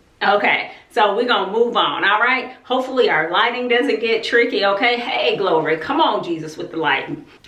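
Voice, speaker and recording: A woman speaks in a fairly high pitch with lively intonation and an animated tone. Noticeable background noise and audible room echo surround her voice. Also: moderate pace, hardly any pauses. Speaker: homeschooling YouTuber. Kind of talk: casual vlog talk. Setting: outdoors.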